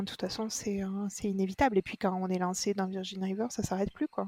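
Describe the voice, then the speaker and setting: With a dark, mellow tone, a woman talks at a fairly quick pace in fairly even intonation. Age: 30s. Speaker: podcast listener. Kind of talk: casual chat.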